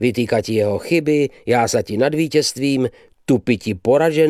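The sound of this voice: The voice reads in an unforced way, and its pitch varies an ordinary amount.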